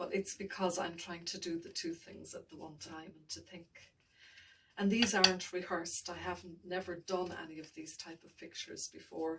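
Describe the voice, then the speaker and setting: A quiet, mumbling woman's voice at a moderate pace, fairly low in pitch and monotone, with big swings in loudness and noticeable background noise. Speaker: painting tutor. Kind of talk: tutorial. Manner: mumbling, voice drops low and quiet; halting, self-correcting.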